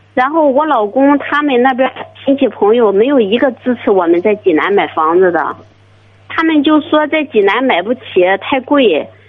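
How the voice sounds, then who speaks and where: High female speech with very wide pitch swings and a moderate pace, set against noticeable background noise. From China, Shandong (Jining). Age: 30s. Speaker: caller. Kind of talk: phone-in advice call. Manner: hesitant.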